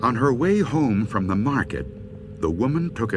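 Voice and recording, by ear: The text is read aloud in a natural voice whose intonation stays lively.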